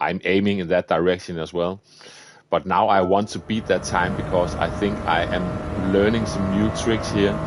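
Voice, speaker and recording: A man with a Danish accent and a very deep, low pitch, at a moderate pace with fairly even intonation. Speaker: gaming streamer. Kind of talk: live gameplay commentary. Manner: casual, chatty.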